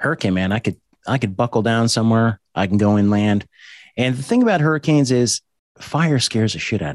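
An ordinary speaking voice, a man with an American accent at medium pitch and a fairly quick pace, dry and close with no echo against a quiet background. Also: ordinary pitch variation. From small-town New Jersey. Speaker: law enforcement officer and podcast host. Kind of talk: casual chat.

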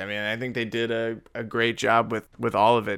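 A man's medium-pitched voice has a bright, sharp tone, captured in a very clean recording with a silent background. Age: 20s. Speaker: podcast guest. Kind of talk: casual chat.

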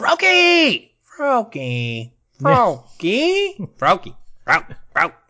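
A put-on character voice, fairly high in pitch, moves at a very slow pace. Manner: excited, shouted.

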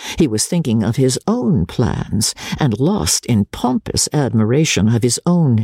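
With lively intonation, a speaker reads out loud in a natural-sounding voice.

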